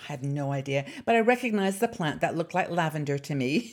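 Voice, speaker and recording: A woman with a British accent speaks with lively intonation. The recording is very clean, with a silent background. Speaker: YouTube channel host. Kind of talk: casual vlog chat. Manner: chatty, hesitant with fillers.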